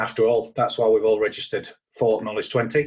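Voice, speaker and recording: A man talks at a very fast pace in a somewhat breathy voice. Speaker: IT service manager. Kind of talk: conference presentation. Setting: recorded at home.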